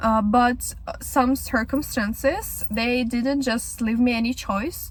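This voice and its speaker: A woman speaks with a Ukrainian accent. Her pace is fairly slow. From Ukraine, Kyiv. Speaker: vlogger. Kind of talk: casual podcast monologue. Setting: in a car. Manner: halting.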